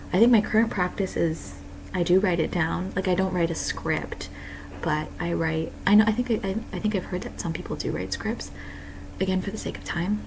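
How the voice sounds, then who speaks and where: Noticeable background noise and audible room echo fill the clip. Within it, a woman speaks at a fairly quick pace. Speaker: artist vlogger. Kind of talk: casual chat. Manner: hesitant, filler words.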